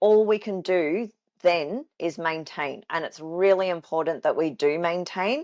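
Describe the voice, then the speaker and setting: With an Australian accent, a woman speaks at a fairly slow pace and ordinary pitch variation over a quiet background. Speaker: fitness coach. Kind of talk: solo podcast talk.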